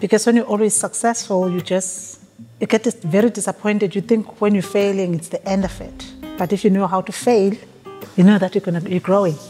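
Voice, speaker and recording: Over faint background music, a woman talks at a fairly quick pace with fairly even intonation. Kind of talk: interview answer. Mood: warm, reflective. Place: hall.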